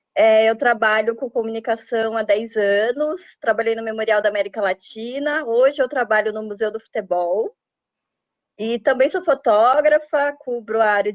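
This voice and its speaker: A woman with a Brazilian accent speaks at a moderate pace in a fairly high voice with ordinary pitch variation. Her loudness swings widely, and the background is quiet. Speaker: journalist and interviewer. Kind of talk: interview.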